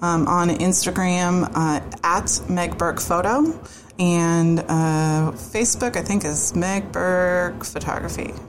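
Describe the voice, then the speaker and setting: A woman with an American accent speaks at a very slow pace and a fairly low pitch, with fairly even intonation and very even loudness, amid noticeable background noise and audible room echo. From US Northeast, greater Boston. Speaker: wedding photographer. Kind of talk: casual interview.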